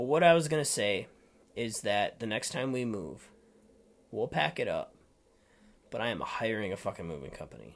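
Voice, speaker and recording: With an Upper Midwest accent, a man speaks at a moderate pace and leaves long, frequent pauses. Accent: Upper Midwest American. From Minnesota, Rochester. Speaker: podcast co-host. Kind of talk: casual chat. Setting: studio. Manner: animated.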